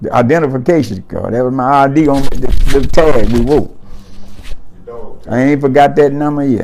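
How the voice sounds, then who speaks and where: With fairly even intonation and a fairly high pitch, a man talks at a moderate pace with long, frequent pauses, amid audible room echo and noticeable background noise. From US South, Mississippi. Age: 80s+. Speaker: war veteran. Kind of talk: oral history interview. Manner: halting.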